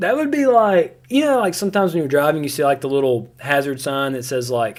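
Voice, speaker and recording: Here a man is speaking. His pitch swings very widely. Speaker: gaming livestreamer. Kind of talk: live gameplay commentary. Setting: livestream. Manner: animated; loud, yelling at times.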